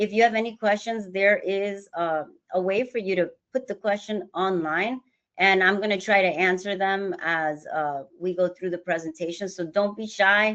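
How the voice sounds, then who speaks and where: A woman speaks at a moderate pace in an unremarkable speaking voice. Her pitch is medium and her intonation fairly even. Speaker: financial advisory firm executive. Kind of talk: webinar presentation. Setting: online webinar.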